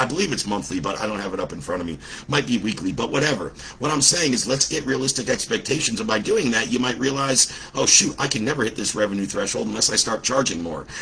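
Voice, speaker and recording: With lively intonation and a medium pitch, a man talks at a very fast pace over noticeable background noise. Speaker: business coach. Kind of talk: livestream talk. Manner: animated.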